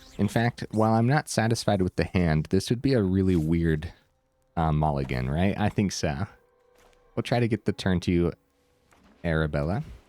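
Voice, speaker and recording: A man's very deep, low voice at a moderate pace. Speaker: gaming streamer. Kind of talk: gameplay commentary. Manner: casual, hesitant with fillers.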